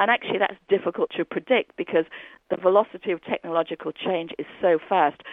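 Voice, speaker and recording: A woman's plain, everyday voice at a medium pitch, fairly quick pace and lively intonation. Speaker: business school professor. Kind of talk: interview.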